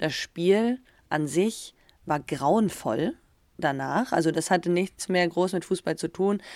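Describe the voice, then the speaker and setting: This woman's voice sits fairly low. She talks at a very slow pace, with ordinary pitch variation. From Germany. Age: 30s. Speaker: professional footballer and podcast co-host. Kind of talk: casual chat. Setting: video call. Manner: animated.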